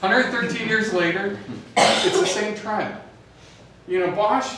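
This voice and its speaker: A man speaks with ordinary pitch variation. Audible room echo and light background noise are present. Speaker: presenter. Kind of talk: presentation talk. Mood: upbeat, joking. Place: hall.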